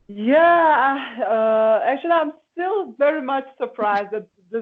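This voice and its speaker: A woman with a Slovenian accent speaks at a very slow pace. Her intonation is lively. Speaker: singer. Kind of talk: interview. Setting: video call. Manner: halting.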